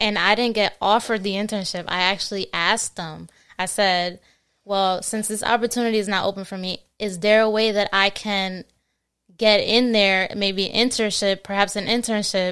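A woman's monotone, flat delivery with an American accent, in a very clean recording with a silent background. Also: medium pitch for a woman, moderate pace. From New Jersey (born Queens, New York). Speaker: recent college graduate, court administration worker. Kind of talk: casual interview chat.

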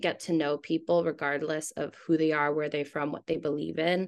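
A woman speaks with a very deep, low pitch and fairly even intonation. The background is quiet. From Hawaii. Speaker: chef. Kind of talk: interview.

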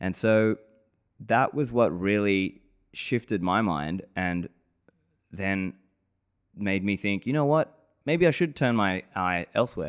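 At a very slow pace with long, frequent pauses, a voice with an Australian accent and lively intonation comes through in a very clean recording with a silent background. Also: man, fairly low pitch for a man. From Australia, Sydney. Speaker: podcast host and bitcoin advocate. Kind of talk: casual interview.

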